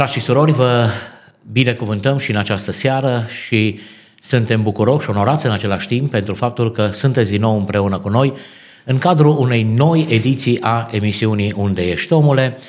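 A man talks at a fairly quick pace with a normal speaking voice. His pitch is medium, with ordinary variation. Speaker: radio host and pastor. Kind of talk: interview. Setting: studio. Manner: formal.

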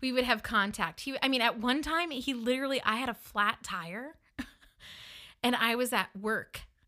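A woman's high, bright and sharp voice with an animated tone, ordinary pitch variation and a northern US accent, in a very clean recording over a silent background. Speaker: podcast host. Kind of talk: personal storytelling. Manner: animated, laughs often.

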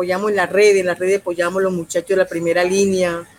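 Over noticeable background noise, a woman of medium pitch speaks in a monotone, flat intonation. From Colombia, Urabá region. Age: 50s. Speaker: social leader and political candidate. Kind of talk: interview.

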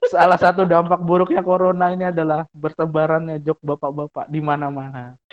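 A high-pitched male voice, monotone and flat, fairly quick with hardly any pauses. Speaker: podcast co-host. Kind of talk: casual chat.

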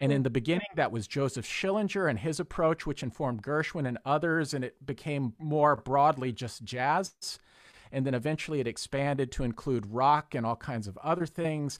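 A man with an American accent has an ordinary speaking voice, fairly high in pitch with ordinary pitch variation. He speaks at a moderate pace on a very clean recording with a silent background. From Texas. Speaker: music professor and violist. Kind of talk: casual chat.

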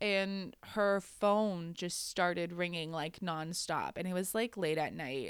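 Here is a woman with a fairly low pitch and an ordinary speaking voice. Her intonation is fairly even, and the recording is very clean with a silent background. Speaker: podcast host. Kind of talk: casual chat, storytelling.

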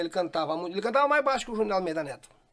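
A man talks in a high pitch, his intonation lively. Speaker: gaúcho folk musician. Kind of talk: casual interview. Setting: studio.

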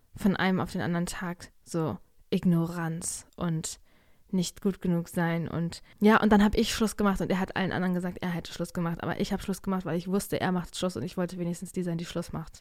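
A woman's animated, fairly low voice at a fairly quick pace, on a very clean recording with a silent background. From Germany. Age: 20s. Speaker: podcaster and student. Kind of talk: casual solo chat. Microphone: new podcast microphone.

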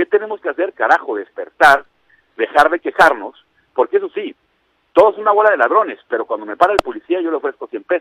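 A man at a fairly quick pace in a dry, close sound with no echo. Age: 50s. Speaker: anti-corruption citizen council member. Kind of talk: radio interview.

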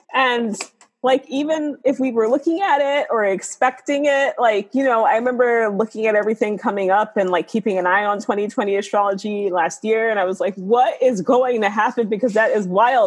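The speaker has an American accent and a moderate pace, with hardly any pauses. Loudness stays very even over noticeable background noise. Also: woman, fairly high pitch for a woman, ordinary pitch variation. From New York City, South Bronx. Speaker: astrologer and tarot reader. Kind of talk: casual interview chat.

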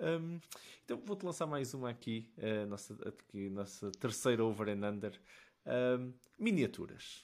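Over a silent background in a very clean recording, the speaker talks at a fairly slow pace with lively intonation. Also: man, medium pitch for a man. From Portugal, Matosinhos. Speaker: podcast host. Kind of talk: casual interview. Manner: halting, with many repeated words.

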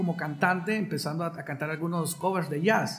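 A man talks fairly quickly, and noticeable background noise can be heard. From Honduras, San Pedro Sula. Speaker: violinist and composer. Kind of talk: interview. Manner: halting, with frequent repetitions.

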